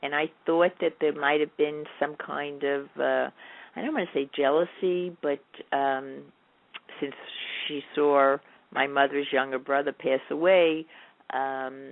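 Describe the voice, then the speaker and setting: A woman's very deep, low voice in a New York accent, with fairly even intonation, a very slow pace, and long, frequent pauses. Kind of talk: interview.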